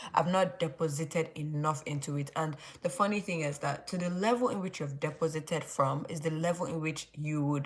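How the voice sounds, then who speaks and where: A somewhat breathy woman, very deep and low in pitch, with ordinary pitch variation and a fairly quick pace. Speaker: YouTuber leading Bible study. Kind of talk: livestream Bible study talk. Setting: live stream late at night. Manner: casual, filler-heavy.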